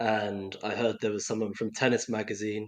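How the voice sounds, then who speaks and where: With a London accent, a man talks in a monotone, flat way at a fairly low pitch against a quiet background. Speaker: doping investigative journalist. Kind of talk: podcast interview.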